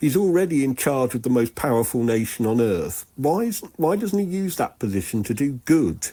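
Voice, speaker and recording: A man with a British accent talks with a dark, mellow tone and hardly any pauses. His pitch swings very widely. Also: medium pitch for a man, moderate pace. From England. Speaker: caller. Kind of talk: voicemail message.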